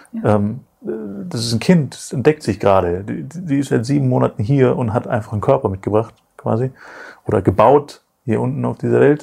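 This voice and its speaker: Somewhat breathy with a dark, mellow tone, the voice moves through very wide pitch swings. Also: man, medium pitch for a man, moderate pace. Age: 30s. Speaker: podcast co-host. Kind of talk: casual chat. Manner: halting.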